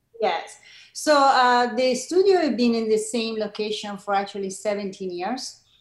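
In an Italian accent, a woman speaks at a fairly slow pace. Her fairly high pitch shows ordinary variation. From Italy, Milan. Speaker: yoga teacher and studio founder. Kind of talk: interview.

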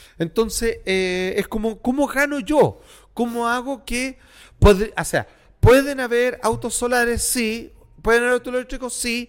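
On a very clean recording with a silent background, a man speaks at a fairly slow pace. His pitch is extremely high for a man and shows ordinary variation. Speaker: podcast co-host. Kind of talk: casual chat.

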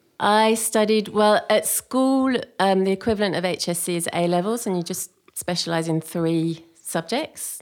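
A woman with an English accent, at a fairly slow pace, with ordinary pitch variation. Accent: posh, clipped English-sounding. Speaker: environmental consultant and school eco committee leader. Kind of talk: casual interview chat. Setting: studio. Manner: clipped, well-spoken.

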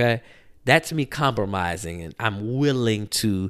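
Over a silent background in a very clean recording, a man talks with lively intonation. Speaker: podcast host. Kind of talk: casual solo commentary. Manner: filler-heavy, with frequent ums.

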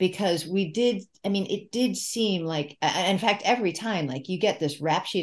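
With an ordinary speaking voice, a woman of medium pitch talks at a moderate pace with lively intonation against a quiet background. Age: 60s. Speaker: author and former English professor. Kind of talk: podcast interview.

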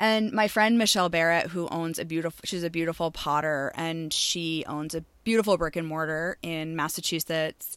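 A woman with an American accent speaks in a normal speaking voice at a fairly low pitch and moderate pace, with fairly even intonation, on a very clean recording with a silent background. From Maine, US. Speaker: shop owner and podcast host. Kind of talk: casual interview.

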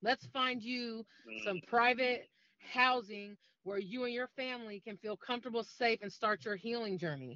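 At a moderate pace, a woman with an unremarkable speaking voice speaks at a fairly high pitch with ordinary pitch variation. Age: 40s. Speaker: domestic violence advocate. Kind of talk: interview.

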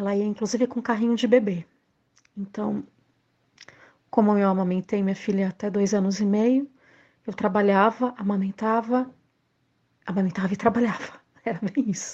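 With a dark, mellow tone that is somewhat breathy, a woman speaks at a moderate pace and medium pitch, her intonation fairly even and her long, frequent pauses set against a quiet background. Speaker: actress and arts teacher. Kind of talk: recorded testimony.

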